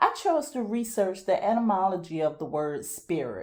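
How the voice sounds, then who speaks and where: A woman speaks at a fairly slow pace with a slight Southern US accent. Her voice sits at medium pitch, with a dark, mellow tone. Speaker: podcast host. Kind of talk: scripted monologue.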